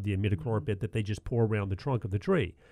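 A man talks at a very fast pace in a Southern US accent. His tone is dark and mellow. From US South. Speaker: radio host, garden center manager. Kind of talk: call-in radio chat.

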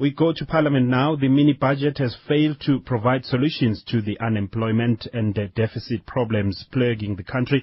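The voice is somewhat breathy with ordinary pitch variation. It moves at a fairly quick pace with hardly any pauses. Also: man, medium pitch for a man. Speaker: radio news presenter. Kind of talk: radio news show. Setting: studio.

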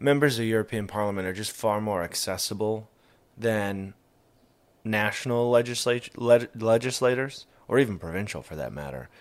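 A normal speaking voice from a man at medium pitch, moderate pace and ordinary pitch variation, on a very clean recording with a silent background. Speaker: radio co-host. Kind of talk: casual chat. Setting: at home.

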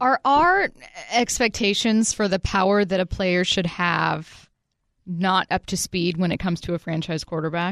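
Over a quiet background, a woman at a medium pitch speaks in a plain, everyday voice with ordinary pitch variation and a dry, close sound with no echo. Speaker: Seahawks insider, radio analyst. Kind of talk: radio panel banter and analysis. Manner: witty, playful, chatty.

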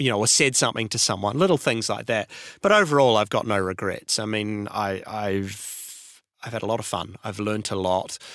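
On a very clean recording with a silent background, a man with a New Zealand accent speaks at a moderate pace in a fairly low voice. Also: ordinary pitch variation. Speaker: radio imaging producer. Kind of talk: interview.

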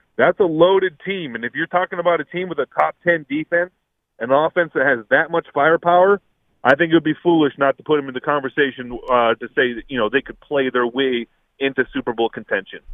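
A plain, everyday voice from a man with an American accent, fairly high in pitch with ordinary variation, at a fairly quick pace. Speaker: caller. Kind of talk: call-in sports talk. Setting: phone call.

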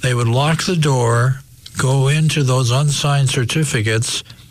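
Over noticeable background noise, a man talks at a fairly slow pace with a medium pitch. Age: 60s. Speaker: retired investigative TV reporter. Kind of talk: interview. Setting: studio.

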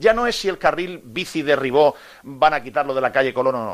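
The man speaks at a moderate pace. His pitch moves in very wide swings. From Murcia, Spain (Águilas). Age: 50s. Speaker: sports radio host. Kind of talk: radio sports talk show.

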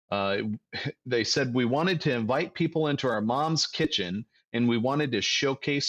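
A man speaks in an unremarkable speaking voice, medium in pitch, at a moderate pace. His pitch varies in an ordinary way against a quiet background. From Ohio, Toledo. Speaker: financial advisor. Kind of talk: radio talk show discussion. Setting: studio.

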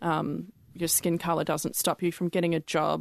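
Her voice is very deep and low, with vocal fry and a monotone, flat intonation, at a fairly slow pace. The woman is recorded dry and close with no echo against a quiet background. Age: 20s. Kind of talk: casual chat. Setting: studio.

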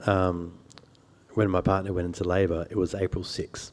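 The speaker talks at a moderate pace in an Australian accent. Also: man. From Sydney, Australia (lower North Shore). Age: 40. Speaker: journalist and author. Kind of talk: public interview. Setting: stage with audience.

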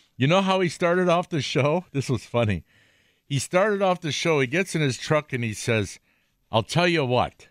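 A man with a Wisconsin accent, fairly high-pitched, at a moderate pace, in a very clean recording with a silent background and a dry, close sound with no echo. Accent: Upper Midwest (Wisconsin) American. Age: 60s. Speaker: outdoors radio host. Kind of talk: casual chat. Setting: studio.

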